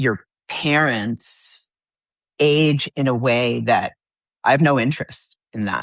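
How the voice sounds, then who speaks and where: In a quiet background, a man with an American accent speaks very slowly with long, frequent pauses and fairly even intonation, in a dry, close sound with no echo. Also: medium pitch for a man. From New York. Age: 60s. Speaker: guest on podcast, athlete. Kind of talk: casual chat.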